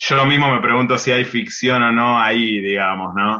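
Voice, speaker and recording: The man's tone is bright and sharp. He speaks at a moderate pace with lively intonation. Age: 30s. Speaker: writer and literary critic. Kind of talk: interview. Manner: halting, with many repetitions and fillers.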